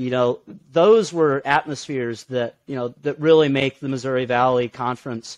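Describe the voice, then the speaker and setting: With an American accent and a normal speaking voice, a man talks at a moderate pace with ordinary pitch variation, the sound dry and close with no echo. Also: medium pitch for a man, quiet background. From central Illinois. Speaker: student superfan. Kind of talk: casual interview.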